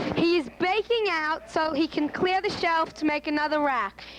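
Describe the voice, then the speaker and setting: Against noticeable background noise, a woman speaks with a high pitch at a moderate pace and with ordinary pitch variation. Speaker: amateur interviewer. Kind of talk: home movie narration.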